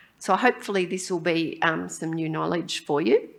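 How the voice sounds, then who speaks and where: A woman speaks with an Australian accent. Her voice is fairly low in pitch, with a bright, sharp tone. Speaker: pediatric endocrinologist and professor. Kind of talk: conference lecture. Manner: hesitant, many ums.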